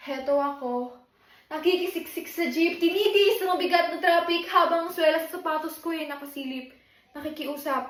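A woman talks at an extremely high pitch. Her loudness swings widely. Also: ordinary pitch variation, moderate pace. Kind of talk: spoken word poetry, a defiant protest piece about inequality in education. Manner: impassioned, defiant, rhythmic and declamatory, building to a forceful close.

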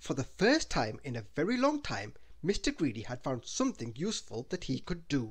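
Text is being read aloud. The reading voice is natural.

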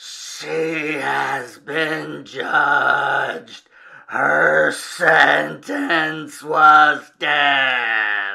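A put-on character voice, raspy and low-to-middle in pitch, at a very slow pace. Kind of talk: comic reading of horror villain. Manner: cold, menacing, pronouncing sentence.

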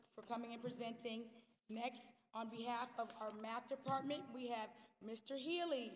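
A high-pitched woman at a fairly slow pace, her intonation fairly even, with light background noise. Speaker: school guidance department head; ceremony host. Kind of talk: ceremony emcee speech. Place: hall.

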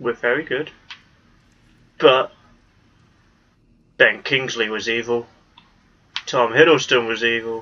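Speaking in a British accent, a man talks fairly slowly at a medium pitch with a bright, sharp tone and long, frequent pauses. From Britain. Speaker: gaming YouTuber. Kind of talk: let's play commentary. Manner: animated.

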